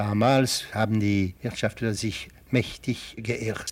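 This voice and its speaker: A man speaks at a very slow pace. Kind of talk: archival interview recollection.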